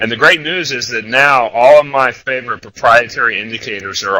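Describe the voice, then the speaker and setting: The tone is bright and sharp, with ordinary pitch variation. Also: man. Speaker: trader presenting a trading webinar. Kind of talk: webinar presentation. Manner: loud.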